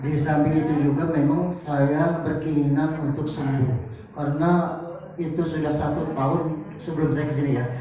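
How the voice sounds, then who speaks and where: Over noticeable background noise and audible room echo, a man speaks at a fairly slow pace in a fairly high, monotone, flat voice. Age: 60s. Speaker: patient. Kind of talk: testimony.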